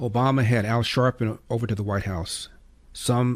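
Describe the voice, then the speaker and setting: A man speaks in an ordinary speaking voice. His pace is fairly quick and his intonation fairly even. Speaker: conservative talk radio host. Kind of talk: radio talk show monologue. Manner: opinionated, commentary.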